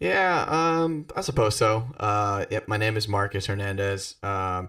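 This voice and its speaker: In a very clean recording with a silent background, a man with an American accent speaks at a fairly low pitch and a fairly slow pace, his tone bright and sharp. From South Florida. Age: 20s. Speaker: podcast co-host, saxophonist. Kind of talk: casual chat.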